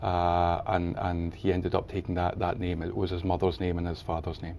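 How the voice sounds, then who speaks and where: In a Scottish accent, a man with a very deep, low pitch and a dark, mellow tone talks at a fairly quick pace. His intonation is monotone and flat. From Scotland, Highlands. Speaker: charity founder and author. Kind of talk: TV interview. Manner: halting.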